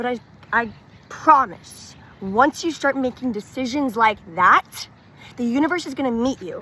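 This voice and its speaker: Bright and sharp in tone, a high-pitched woman with an American accent speaks at a moderate pace, her intonation lively and her loudness swinging widely. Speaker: wellness vlogger. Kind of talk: casual personal testimony to camera. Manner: chatty, filler-heavy casual speech.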